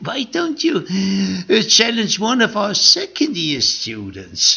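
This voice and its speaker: A man puts on a character voice, pitched high and spoken at a fairly slow pace. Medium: read story.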